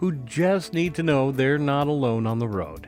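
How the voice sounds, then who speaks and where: With music in the background, a man speaks at a fairly slow pace and a medium pitch, using very wide pitch swings. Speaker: chaplain, podcast host. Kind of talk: journal reading, reflective storytelling. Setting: podcast recording. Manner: warm, conversational, reflective.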